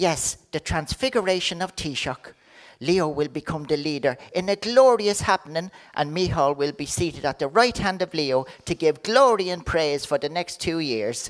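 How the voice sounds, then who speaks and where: With an Irish accent, a woman talks at a moderate pace with lively intonation on a very clean recording with a silent background. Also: fairly low pitch for a woman. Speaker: comedian. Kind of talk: comic monologue.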